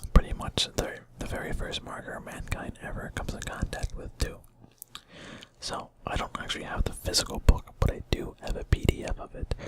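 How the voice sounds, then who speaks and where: Someone whispers at a fairly quick pace. Noticeable background noise runs underneath. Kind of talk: casual talk to camera. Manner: soft-spoken.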